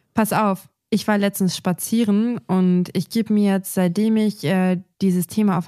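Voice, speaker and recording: Recorded very cleanly against a silent background, with a dry, close sound and no echo, a woman speaks at medium pitch in a dark, mellow tone with fairly even intonation. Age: 20s. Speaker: gardening podcast co-host. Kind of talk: casual chat.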